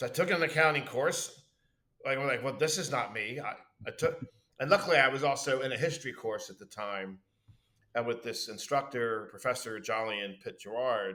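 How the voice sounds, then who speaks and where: Loud and in a Philadelphia accent, a man talks with a bright, sharp tone and lively intonation. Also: medium pitch for a man. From Philadelphia, US (Southwest Philly). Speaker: university administrator. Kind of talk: casual interview chat. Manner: talkative, fast.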